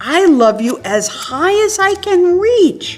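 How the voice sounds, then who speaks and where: A woman uses a squeaky, put-on character voice with an extremely high pitch and very wide pitch swings. She speaks at a fairly slow pace as faint music plays in the background. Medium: read story. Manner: eager, affectionate.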